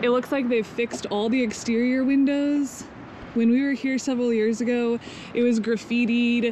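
With light background noise behind her, a woman talks at a moderate pace in a high-pitched voice. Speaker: travel vlogger. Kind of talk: casual vlog chat. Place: street. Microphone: phone near.

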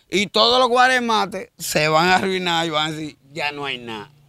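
Projecting a raised voice with a bright, sharp tone, a man speaks at a moderate pace with lively intonation in a very clean recording with a silent background and a dry, close sound with no echo. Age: 50s. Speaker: street interviewee, odd-job worker. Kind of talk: street interview.

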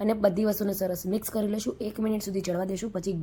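Somewhat breathy and dark, mellow in tone, a woman speaks at medium pitch with fairly even intonation. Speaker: cooking channel host. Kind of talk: cooking tutorial.

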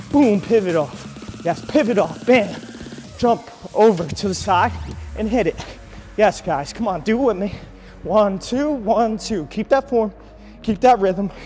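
Faint music plays in the background as a man speaks at a fairly slow pace. His pitch is high, with ordinary variation. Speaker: fitness instructor. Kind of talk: workout coaching. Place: gym.

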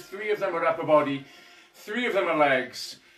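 A man speaks at a moderate pace in a high pitch. Audible room echo surrounds him, and music plays in the background. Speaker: fitness instructor. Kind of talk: live workout instruction. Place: home room. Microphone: camera far.

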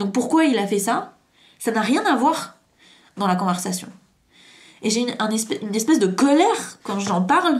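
A woman talks at a fairly slow pace with long, frequent pauses, her voice somewhat breathy and her intonation lively. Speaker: hypnotherapist and trauma coach YouTuber; therapist or coach. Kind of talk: story time monologue to camera. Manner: halting, many fillers. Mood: serious, emotionally engaged. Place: home room. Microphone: camera far.

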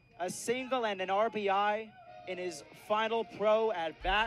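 A high-pitched man with an excited, energetic tone over music in the background. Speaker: play-by-play baseball radio announcer. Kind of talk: live baseball play-by-play radio call.

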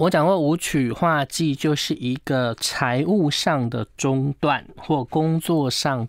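A man's fairly high voice at a very slow pace with hardly any pauses and ordinary pitch variation, dry with no echo, over a quiet background. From Taiwan. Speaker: feng shui consultant. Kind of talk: casual chat. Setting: studio. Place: studio.

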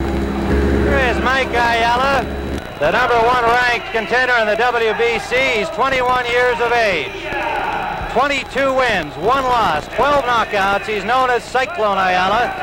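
A man at a fairly slow pace, dry with no echo, against loud background noise. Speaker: boxing commentator. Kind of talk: sports broadcast commentary. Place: stadium. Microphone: old recording.

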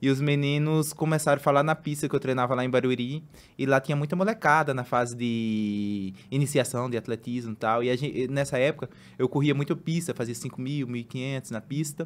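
At an average tempo, the man's pitch moves up and down in a typical way. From Brazil, Pernambuco interior; Pernambuco, Brazil. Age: 30s. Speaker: marathon runner; guest. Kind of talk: casual chat. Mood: relaxed, smiling, animated. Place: studio. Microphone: studio mic.

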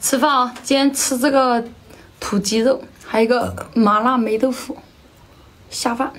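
A woman's high-pitched, flat monotone at a fairly slow pace, broken by long, frequent pauses, over noticeable background noise. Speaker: mukbang vlogger. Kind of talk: casual eating vlog talk. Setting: at home.

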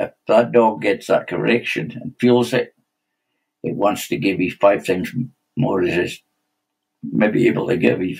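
Someone with a Scottish accent talks at a moderate pace, leaving long, frequent pauses. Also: man, quiet background. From Scotland. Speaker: stock dog trainer. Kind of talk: podcast interview answer. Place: home room. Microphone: webcam.

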